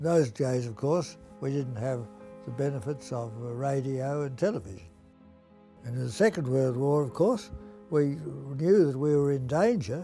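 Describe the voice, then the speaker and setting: With an Australian accent, a man speaks at a moderate pace with lively intonation while music plays in the background. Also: medium pitch for a man. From Melbourne, Australia. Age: 80s+. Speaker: Jesuit priest and school teacher. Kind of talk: interview answer, reminiscence.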